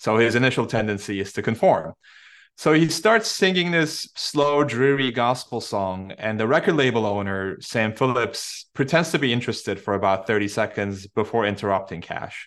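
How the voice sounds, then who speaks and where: In a Turkish accent, a man speaks at medium pitch and a moderate pace with lively intonation. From Istanbul, Turkey. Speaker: author and former Mars rover scientist. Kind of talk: interview.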